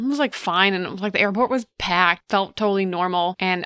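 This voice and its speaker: A woman speaks at medium pitch and a fairly quick pace in a normal speaking voice, with ordinary pitch variation and a dry, close sound with no echo. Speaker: podcast host. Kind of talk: casual chat.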